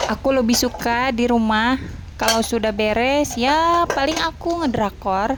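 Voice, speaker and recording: At a fairly slow pace, a woman speaks in a high voice. Her pitch varies in an ordinary way. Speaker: housewife vlogger. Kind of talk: casual vlog narration while doing housework. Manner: halting.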